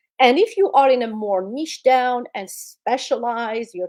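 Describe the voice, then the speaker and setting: A woman speaks with a non-native accent. She talks at a fairly slow pace. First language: not English. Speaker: public speaking coach. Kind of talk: interview advice.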